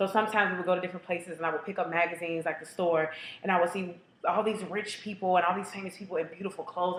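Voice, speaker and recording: Over noticeable background noise, a woman of medium pitch speaks at a very fast pace in an animated tone. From Kentucky, Louisville. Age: 20s. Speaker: casting applicant. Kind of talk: audition tape monologue.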